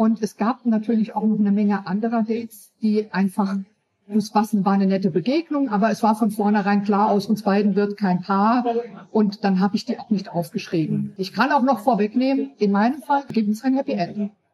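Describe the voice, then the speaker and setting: A dark, mellow tone comes through with a somewhat breathy quality. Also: woman, fairly high pitch for a woman, ordinary pitch variation, moderate pace. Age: 50s. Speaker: author. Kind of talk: interview.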